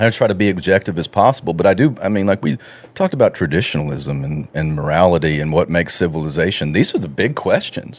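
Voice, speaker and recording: In a Texan accent, a man speaks very fast with a very deep, low pitch and lively intonation. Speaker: researcher and radio host. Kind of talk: casual podcast conversation.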